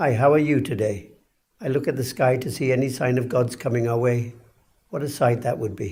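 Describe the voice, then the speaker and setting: Using a put-on, raspy character voice, a man speaks at a medium pitch and a fairly quick pace with fairly even intonation. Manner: sad.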